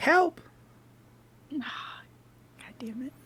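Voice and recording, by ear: A female-sounding voice puts on a character voice at a high pitch. The delivery sounds strained.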